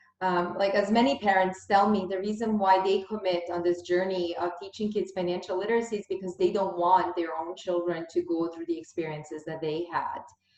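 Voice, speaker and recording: The speech moves at a fairly quick pace with hardly any pauses and fairly even intonation. Noticeable background noise is present. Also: woman, medium pitch for a woman. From Bosnia, raised in Canada. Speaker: podcast host, financial education founder. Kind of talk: interview conversation.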